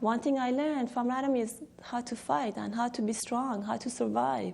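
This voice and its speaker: A woman speaks with a Persian accent at a high pitch. Her pace is moderate and her intonation fairly even. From Iran. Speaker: interviewee, former student. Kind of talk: documentary interview. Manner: halting.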